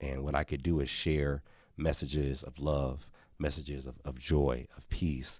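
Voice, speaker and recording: Vocal fry runs through this man's very deep, low voice, which keeps a fairly even intonation in a very clean recording, silent background. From Milwaukee, US Midwest. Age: 40s. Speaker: former university mascot and children's author. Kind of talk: interview. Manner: halting with frequent repeats.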